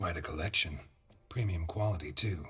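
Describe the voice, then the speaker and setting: Putting on a character voice, a man talks at a moderate pace with a raspy, very deep, low pitch. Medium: video game. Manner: terse, deadpan.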